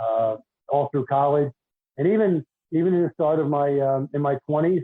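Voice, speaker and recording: This man speaks with a Philadelphia accent at a fairly high pitch and a moderate pace. His loudness stays very even, and his pitch varies in an ordinary way. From Philadelphia, US. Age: 60s. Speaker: retired basketball referee and deacon. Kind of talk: podcast interview.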